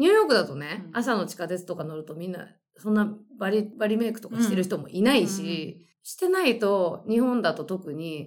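A woman with a plain, everyday voice speaks at a moderate pace and medium pitch, with lively intonation and big swings in loudness. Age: 40s. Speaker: writer. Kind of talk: casual chat.

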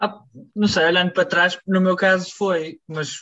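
A man talks at a moderate pace with a bright, sharp tone. His intonation stays fairly even against a quiet background. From Portugal, Barcelos. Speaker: musician. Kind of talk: interview.

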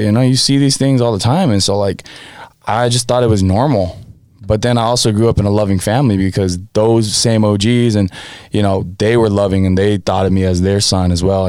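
A man with a plain, everyday voice, a fairly low pitch and an American accent talks at a fairly quick pace with ordinary pitch variation. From California, US (born American Samoa). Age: 20s. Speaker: podcast co-host. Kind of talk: casual chat.

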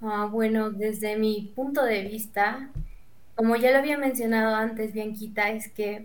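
Speaking in a monotone, flat intonation at a fairly slow pace, a woman with a fairly high pitch is heard with audible room echo. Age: 20s. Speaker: student. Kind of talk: casual chat.

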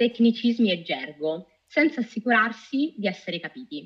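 Her pace is moderate as a woman talks at a fairly high pitch. Her pitch swings very widely. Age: 30s. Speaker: data officer and UX researcher. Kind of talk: interview.

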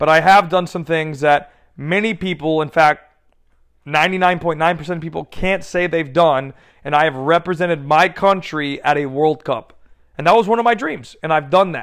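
A man's ordinary speaking voice with an American accent, fairly high in pitch, at a moderate pace with ordinary pitch variation, on a very clean recording with a silent background. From United States. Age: 30s. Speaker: podcast host and youth soccer coach. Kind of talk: solo podcast monologue.

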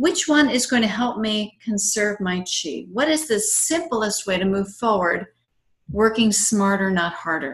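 A somewhat breathy woman speaks at a fairly high pitch and a fairly slow pace, with lively intonation. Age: 50s. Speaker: tai chi instructor and nutrition therapist. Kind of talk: interview; guided breathing exercise. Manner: enthusiastic.

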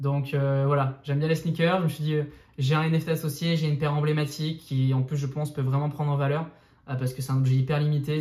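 Somewhat breathy and fairly high-pitched, a man talks at a very fast pace in a monotone, flat delivery. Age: 20s. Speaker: crypto YouTuber. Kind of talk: casual interview.

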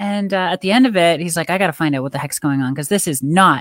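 The intonation is lively. The sound is dry and close with no echo, and the recording is very clean over a silent background. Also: woman. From rural Canada. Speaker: pickleball player and life coach. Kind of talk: interview.

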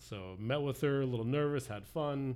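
A man's dark, mellow voice at a moderate pace, with audible room echo. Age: 40s. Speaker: church outreach worker. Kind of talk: casual chat.

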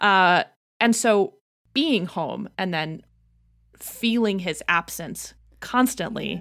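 On a very clean recording with a silent background, a woman with an American accent speaks very slowly at a medium pitch, her intonation lively, her loudness swinging widely, and her pauses long and frequent. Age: 20s. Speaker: psychology PhD candidate and podcaster. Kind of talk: casual chat.

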